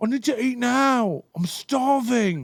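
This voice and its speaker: In a put-on character voice with a British accent, the speaker sounds whiny, using a whiny tone at a fairly high pitch and a fairly slow pace. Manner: hangry, whiny.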